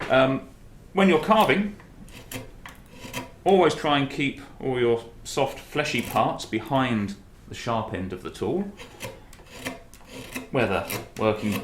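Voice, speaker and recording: Over noticeable background noise, a man speaks at a very slow pace and a medium pitch, with very wide pitch swings and long, frequent pauses. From Britain. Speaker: woodcarver. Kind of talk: instructional demonstration. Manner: friendly, welcoming.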